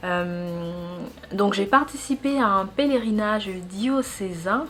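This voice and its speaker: Speaking at a very slow pace, a woman with a Central African accent uses a medium pitch with ordinary pitch variation. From Gabon. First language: Fang (speaking French). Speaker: YouTuber. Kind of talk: casual personal vlog. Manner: conversational, with hesitations.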